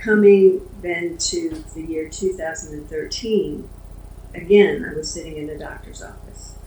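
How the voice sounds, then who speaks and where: Audible room echo and noticeable background noise surround a woman speaking at a fairly slow pace. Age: 70s. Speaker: Parkinson's patient advocate. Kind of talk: personal testimony in a support group interview.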